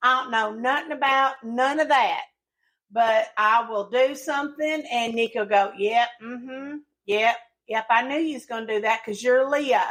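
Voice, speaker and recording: In a Southern accent, a woman speaks loudly at a high pitch and a moderate pace, with ordinary pitch variation. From rural Tennessee. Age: 40s. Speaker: podcast co-host. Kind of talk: casual chat.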